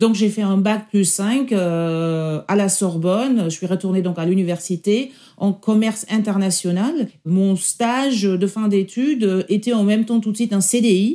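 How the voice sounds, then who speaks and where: A woman with a German accent speaks at a fairly slow pace with hardly any pauses, a medium pitch and ordinary pitch variation. Her tone is dark and mellow, and her loudness stays very even. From Germany. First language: German (speaking French). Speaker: senior public sector executive. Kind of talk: interview testimony. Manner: halting.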